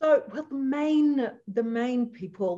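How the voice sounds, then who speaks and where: Slow-ish and somewhat breathy, a woman with an Australian accent speaks with a dark, mellow tone, lively intonation and a fairly slow pace. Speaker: leadership trainer and chatbot business founder. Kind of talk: interview.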